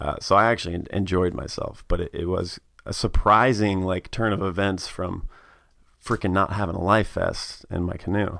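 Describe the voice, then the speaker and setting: A man with an American accent and an unremarkable speaking voice. He talks at a moderate pace, fairly low in pitch, with fairly even intonation. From Tennessee, US South. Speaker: guest. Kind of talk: casual chat.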